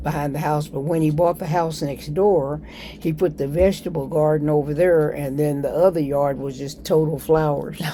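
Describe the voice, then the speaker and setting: A woman with an American accent and a very deep, low pitch talks at a moderate pace in monotone, flat intonation. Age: 80s+. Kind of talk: interview answer.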